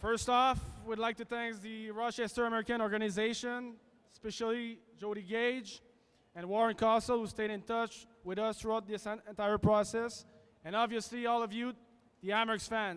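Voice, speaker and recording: In a French accent, a man speaks at a moderate pace with a high pitch and a monotone, flat intonation. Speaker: son of inductee. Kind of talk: ceremony speech. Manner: halting.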